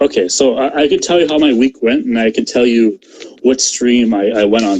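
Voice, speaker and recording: A man talks fairly quickly at a medium pitch with ordinary pitch variation. His loudness stays very even throughout. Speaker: political commentator. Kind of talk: heated debate.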